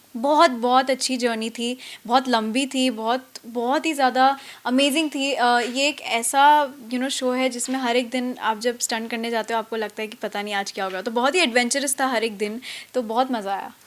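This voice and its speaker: A fairly even, high-pitched woman's voice at moderate speed. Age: young. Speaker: actress. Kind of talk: interview answer.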